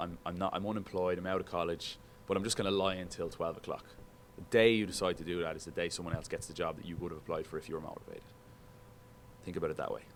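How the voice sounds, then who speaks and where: Speaking at a very fast pace with an animated tone, a man with an Irish accent has a very deep, low pitch. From Ireland, Dublin. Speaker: sports broadcaster. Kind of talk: guest talk to broadcasting students. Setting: classroom. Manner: casual, animated.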